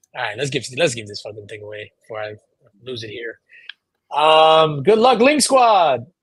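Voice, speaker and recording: Somewhat breathy and fairly high-pitched, a man's voice makes very wide pitch swings and big swings in loudness. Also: moderate pace. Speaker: podcast host. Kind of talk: casual chat.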